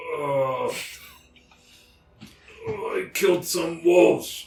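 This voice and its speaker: A man performs a put-on character voice. He goes very slowly, with a slight echo on the sound. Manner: dim, simple.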